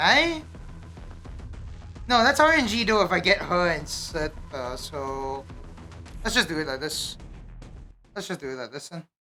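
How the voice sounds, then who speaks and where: Over music in the background, a woman speaks with very wide pitch swings, big swings in loudness and long, frequent pauses. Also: fairly low pitch for a woman, moderate pace. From Malaysia. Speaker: video game streamer. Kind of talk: live gameplay commentary. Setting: live stream with camera. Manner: casual, thinking aloud with fillers.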